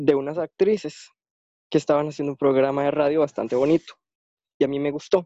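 This man talks at a fairly quick clip with fairly even intonation and a fairly high pitch, stopping often for long pauses. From Costa Rica. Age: 20s. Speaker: blind interviewee. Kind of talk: interview. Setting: online call away from home.

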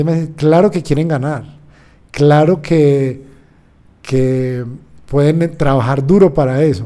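A man speaks in a fairly high pitch. His intonation stays fairly even. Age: 30s. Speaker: sports psychologist. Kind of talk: interview. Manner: halting.

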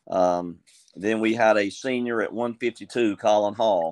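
Against a quiet background, a man speaks. His pitch is fairly low and his intonation fairly even. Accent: Southern US. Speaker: high school wrestling coach. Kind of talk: casual interview.

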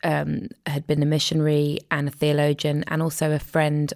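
In a very clean recording with a silent background, a woman with a very deep, low pitch talks at a moderate pace. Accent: English. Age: 40s. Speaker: filmmaker and author. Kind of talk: personal testimony in interview. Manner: hesitant, many fillers.

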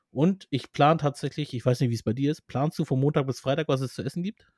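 At a fairly quick pace, a somewhat breathy voice comes through with a dry, close sound and no echo. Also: man. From Armenian family, Persian background. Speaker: podcast co-host. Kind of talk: casual chat.

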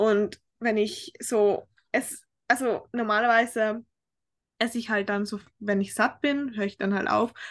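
Speaking at a fairly slow pace with long, frequent pauses, a woman uses a fairly high pitch with ordinary pitch variation. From Austria, Tyrol. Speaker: fitness coaching client. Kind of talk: casual interview. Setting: remote call across time zones.

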